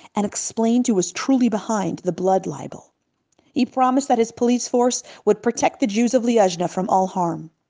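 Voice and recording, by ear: Over quiet surroundings, the voice reads aloud naturally, its pitch shifting in an ordinary way.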